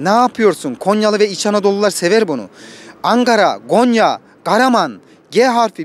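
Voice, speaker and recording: A man with a high voice talks at a moderate pace with ordinary pitch variation, and the sound is dry with no echo. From Konya, Turkey. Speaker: former Turkish teacher, content creator. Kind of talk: casual talk to camera, local travel vlog. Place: street. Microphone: handheld.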